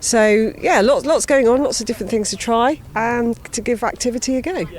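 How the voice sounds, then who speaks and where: A woman speaks at a fairly high pitch with ordinary pitch variation. There is noticeable background noise. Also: moderate pace. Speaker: cycling charity worker. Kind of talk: interview answer. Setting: outdoors.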